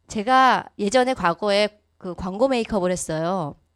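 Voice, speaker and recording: A woman speaks at a medium pitch with lively intonation. The sound is dry and close with no echo, in a very clean recording against a silent background. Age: 40s. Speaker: network marketing business speaker. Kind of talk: motivational lecture. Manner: fast.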